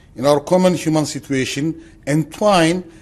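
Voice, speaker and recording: With a slight non-native accent, a man talks in a fairly high pitch and ordinary pitch variation. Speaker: philosophy professor. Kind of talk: lecture, reading a paper aloud; conference talk.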